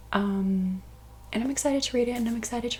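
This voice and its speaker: Soft-spoken and somewhat breathy, the woman has a dark, mellow tone. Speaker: ASMR artist. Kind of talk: soft-spoken ASMR book talk.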